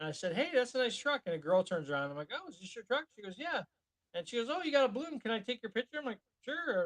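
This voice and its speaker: With very wide pitch swings and a very fast pace, a man speaks in a dry, close sound with no echo. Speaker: podcast co-host. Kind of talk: casual chat. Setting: live stream.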